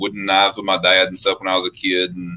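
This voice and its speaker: Talking very fast, a man speaks in a Southern US accent. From US South (Mississippi, Alabama). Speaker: custom knife maker. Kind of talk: interview. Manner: casual, hesitant with fillers.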